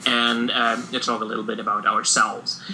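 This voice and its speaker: A man speaks with a German accent over noticeable background noise. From Germany. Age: 30s. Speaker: podcast co-host, teacher. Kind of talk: casual podcast chat. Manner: halting, many filler words.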